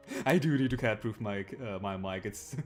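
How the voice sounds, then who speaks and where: A man speaks with a German accent. Music plays in the background. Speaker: video game streamer. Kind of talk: gameplay commentary. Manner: halting, many fillers.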